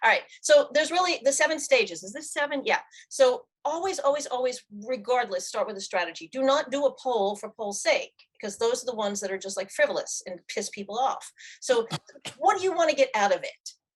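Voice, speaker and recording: A woman with an American accent speaks in a high voice, her pitch swinging very widely and her loudness rising and falling by big amounts. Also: fairly quick pace. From New York. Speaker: LinkedIn marketing consultant and author. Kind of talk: webinar presentation. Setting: live video stream. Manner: fast.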